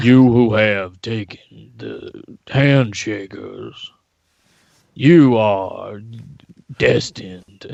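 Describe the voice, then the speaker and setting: A man performs a put-on character voice at medium pitch. He goes very slowly, with long, frequent pauses. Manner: grand, commanding.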